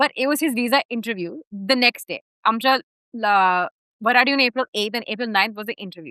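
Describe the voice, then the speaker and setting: Her voice high and her tone bright and sharp, a woman comes through with a dry, close sound and no echo. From United States. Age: young. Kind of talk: interview answer. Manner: mixes English and Marathi.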